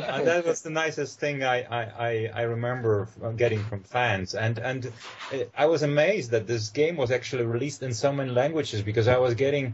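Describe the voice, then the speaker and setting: The voice has a Polish accent and moves at a fairly quick pace. Its pitch variation is ordinary, and there is noticeable background noise. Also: man, medium pitch for a man. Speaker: actor. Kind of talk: casual chat. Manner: halting, many fillers.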